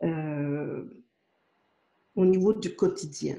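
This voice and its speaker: With a dark, mellow tone, a woman speaks using ordinary pitch variation. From Quebec, Montreal. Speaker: spiritual author and channel. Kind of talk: interview. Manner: hesitant, many fillers.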